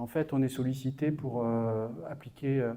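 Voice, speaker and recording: A man speaks in a monotone, flat intonation. His tone is dark and mellow. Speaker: business consultant. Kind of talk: conference talk. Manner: halting, many hesitations.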